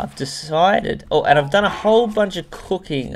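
A man's voice comes with faint music behind it. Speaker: gaming video host. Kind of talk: casual gaming commentary.

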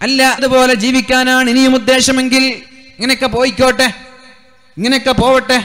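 A man speaks at an extremely high pitch in a monotone, flat way. Noticeable background noise runs under his voice. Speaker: Islamic preacher. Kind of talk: sermon.

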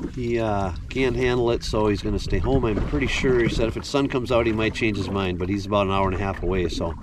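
Very fast speech with hardly any pauses in an American accent, ordinary pitch variation, a dry sound with no echo and noticeable background noise. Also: man, fairly low pitch for a man. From Minnesota. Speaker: fishing vlogger. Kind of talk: vlog narration. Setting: outdoors on a boat in rain. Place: boat. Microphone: phone near.

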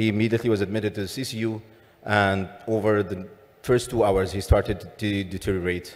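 At a fairly quick pace comes a plain, everyday voice. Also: man. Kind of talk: lecture. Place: hall. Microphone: podium.

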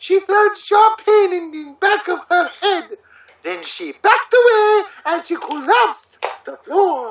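A man puts on a character voice at an extremely high pitch with big pitch swings and a fairly bright tone. He speaks at a slow pace.

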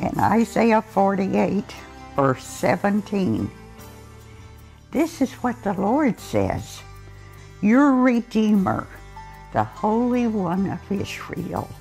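A woman's very slow speech, full of long, frequent pauses, with faint music in the background. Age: 80s+. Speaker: scripture reader. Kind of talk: scripture reading. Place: home room. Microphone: lapel.

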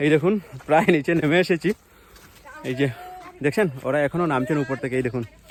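Amid noticeable background noise, a man with a fairly high pitch talks with ordinary pitch variation. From India, Assam (Karimganj district, Barak Valley). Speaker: vlogger. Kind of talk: vlog walk-and-talk narration. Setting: outdoors, village hills.

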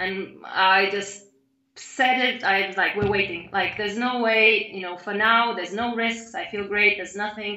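A woman speaks at a moderate pace with fairly even intonation. Audible room echo sits over a quiet background. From Lithuania. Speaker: mother sharing birth story; interviewee. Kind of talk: testimony. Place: home room. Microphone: video call.

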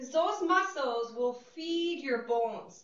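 Audible room echo surrounds a woman who speaks at a fairly slow pace in a high-pitched, bright, sharp tone, her intonation lively and her tone upbeat. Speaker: fitness instructor. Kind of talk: guided group exercise class. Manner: encouraging, upbeat; brisk rhythmic cueing. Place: studio.

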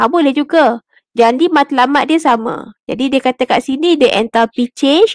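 A woman speaks at a fairly slow pace in a high voice with ordinary pitch variation, her sound dry with no echo against a quiet background. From Malaysia. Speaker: chemistry lecturer. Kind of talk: online tutorial lecture. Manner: code-switching Malay and English. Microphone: headset.

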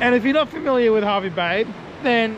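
A man with a high voice at a very fast pace, dry sound with no echo, noticeable background noise behind him. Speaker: travel vlogger. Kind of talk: casual vlog chat. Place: beach. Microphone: phone near.

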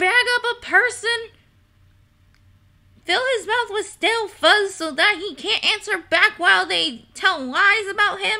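Putting on a character voice, a woman whines at an extremely high pitch in a whiny, panicked tone, going fairly slowly with long, frequent pauses. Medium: virtual streamer. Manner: whiny, indignant, then panicked wailing.

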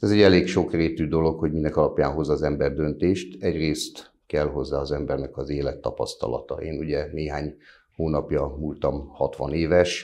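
A man's very deep, low voice carries a dark, mellow tone and fairly even intonation. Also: moderate pace. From Solymár, Hungary; Hungary. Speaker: mayor, council candidate. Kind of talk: candidate interview. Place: studio. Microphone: lapel.

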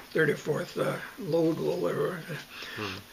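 A man with a Canadian prairie accent talks over light background noise. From Southern Alberta, Canada. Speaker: retired farmer, oral history interviewee. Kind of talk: oral history interview answer. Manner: hesitant, halting. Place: home room. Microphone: webcam.

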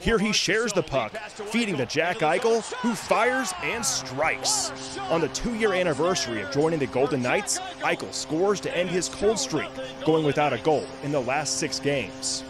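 Over music in the background, a man with a fairly high pitch talks at a moderate pace in an upbeat, energetic tone with very wide pitch swings. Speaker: sports reporter. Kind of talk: TV sports news highlight recap, scripted. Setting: TV news package voiceover. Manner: punchy, upbeat, energetic broadcast delivery.

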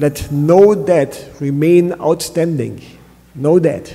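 Fairly even intonation runs through the speech. The speaker is a man. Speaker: pastor. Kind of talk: sermon. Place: church. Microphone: podium.

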